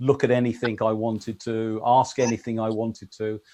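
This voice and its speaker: Speaking with an English accent, a man has a dark, mellow tone at a medium pitch. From England. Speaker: electronics engineer and industry consultant. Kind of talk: casual chat.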